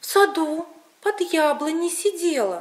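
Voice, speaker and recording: At a moderate pace, a woman performs a put-on character voice pitched extremely high. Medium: read story.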